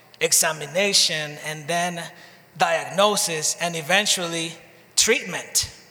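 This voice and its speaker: Against noticeable background noise and audible room echo, a man with a high pitch speaks at a fairly slow pace with fairly even intonation. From Dominican Republic. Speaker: pastor. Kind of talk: sermon. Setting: church. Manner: paced in short phrases for an interpreter.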